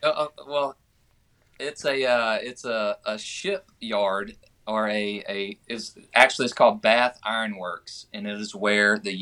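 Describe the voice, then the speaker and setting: A man with a Southern US accent speaks very slowly in a bright, sharp, fairly low voice. His loudness swings widely while his pitch varies in an ordinary way. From Georgia (US). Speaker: country singer. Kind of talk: casual chat.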